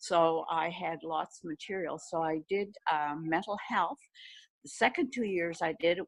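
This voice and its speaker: Speaking very slowly, a woman with a fairly low pitch uses ordinary pitch variation and some vocal fry. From New Brunswick, Canada. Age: old. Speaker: retired nurse. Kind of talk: interview answer.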